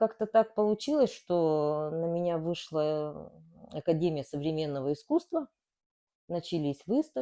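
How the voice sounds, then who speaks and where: At a fairly slow pace, the speech carries a dark, mellow tone. Its pitch varies in an ordinary way. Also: woman, fairly low pitch for a woman. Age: 60s. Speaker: cancer survivor and amateur painter. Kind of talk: interview testimony.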